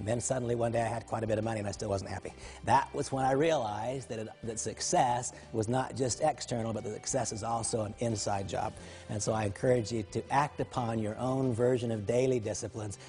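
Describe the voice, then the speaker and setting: Music plays behind a man talking at a very fast pace. His pitch variation is ordinary. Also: medium pitch for a man. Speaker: motivational speaker, network marketing business leader. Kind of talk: motivational talk to camera.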